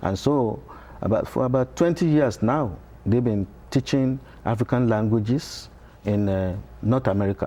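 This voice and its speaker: Long, frequent pauses in a dark, mellow voice at a moderate pace, with ordinary pitch variation. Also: man, medium pitch for a man. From Nigeria. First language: Yoruba. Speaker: professor. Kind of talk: TV interview. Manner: halting.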